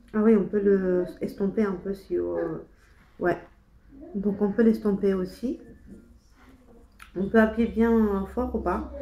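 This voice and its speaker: A soft-spoken woman talks at a medium pitch and a very slow pace. Her intonation is fairly even, with long, frequent pauses. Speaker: beauty vlogger. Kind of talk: casual chat. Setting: home kitchen. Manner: halting.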